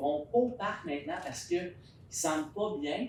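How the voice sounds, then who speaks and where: Speaking at a moderate pace with a Quebec accent, a man uses a fairly high pitch amid noticeable background noise. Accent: Québécois French. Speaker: resident speaking at public consultation. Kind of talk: public consultation discussion. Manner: loud.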